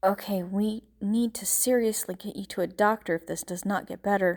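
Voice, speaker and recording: A woman mumbles in a soft-spoken, put-on character voice at a moderate pace. Her pitch is medium and her intonation fairly even, while her loudness swings a lot. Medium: read story. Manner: soft, mumbling.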